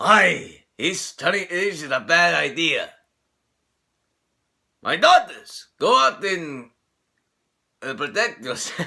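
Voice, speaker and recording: A man puts on a gruff character voice, high-pitched and raised to project, with very wide pitch swings. He goes at a very slow pace with long, frequent pauses. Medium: solo performance. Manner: brash, gruff.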